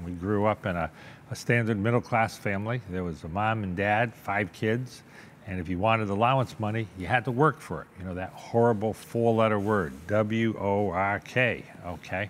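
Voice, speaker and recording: This man has a Boston accent. His voice is pitched fairly low. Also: ordinary pitch variation, moderate pace. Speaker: businessman and car collector. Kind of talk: interview.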